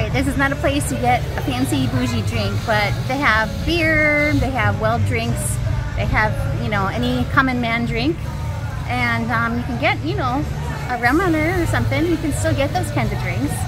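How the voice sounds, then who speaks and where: Music plays clearly in the background. The speech moves at a moderate pace. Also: woman. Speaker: travel vlogger. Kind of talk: casual vlog chat. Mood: cheerful, relaxed. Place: bar. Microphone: phone near.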